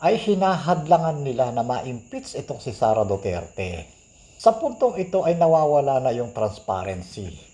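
A man talks at a moderate pace with a dark, mellow tone. His voice is somewhat breathy, and his pitch swings very widely. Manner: earnest, admonishing, preachy; firm, emphatic.

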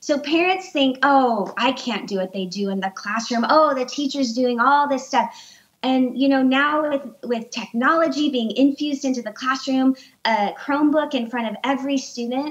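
A woman speaks at a moderate pace in a high pitch. Her pitch variation is ordinary. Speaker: remote guest. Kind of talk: interview answer. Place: home room. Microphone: video call.

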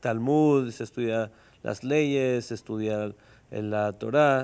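The speech moves at a very slow pace. Its intonation is fairly even. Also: man. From Mexico. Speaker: rabbi. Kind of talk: interview. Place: studio. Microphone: lapel.

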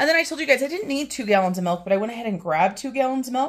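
The background is quiet as a woman speaks. Her intonation is lively. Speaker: home budget vlogger. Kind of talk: casual vlog chat. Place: home room. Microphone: phone near.

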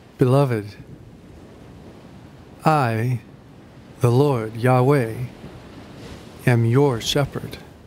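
Amid noticeable background noise, a medium-pitched man talks very slowly with fairly even intonation and long, frequent pauses. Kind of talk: scripture reading, meditation. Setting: over background music. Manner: calm, gentle, prayerful.

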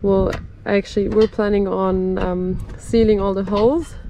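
A woman talks at a moderate pace with noticeable background noise around her. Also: dry sound with no echo. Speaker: vlogger doing truck repairs. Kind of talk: casual vlog chat. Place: open country. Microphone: phone near.

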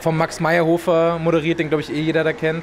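A man's speech comes through with light background noise. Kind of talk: interview answer. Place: hall. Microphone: handheld.

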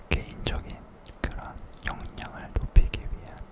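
A man whispering over noticeable background noise. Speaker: K-pop idol, singer-songwriter. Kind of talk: casual ASMR talk to camera.

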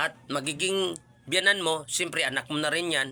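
His tone is bright and sharp, and the man's pitch varies in an ordinary way. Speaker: YouTube reaction vlogger. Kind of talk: casual vlog commentary.

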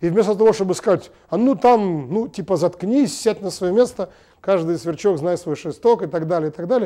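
With a dark, mellow tone, a man talks at a high pitch and a moderate pace with ordinary pitch variation against a quiet background. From Belarus, Minsk; Belarus. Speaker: TV host and journalist; TV talk show host. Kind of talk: TV studio monologue. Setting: TV studio. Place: studio. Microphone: lapel.

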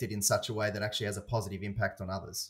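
In a very clean recording with a silent background, a man with an Australian accent talks at a fairly low pitch. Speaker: podcast host. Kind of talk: casual chat.

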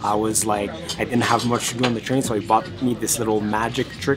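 Music plays in the background while the man keeps his intonation fairly even. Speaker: travel vlogger. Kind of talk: casual vlog chat. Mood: nostalgic, warm storytelling. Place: train. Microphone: phone near.

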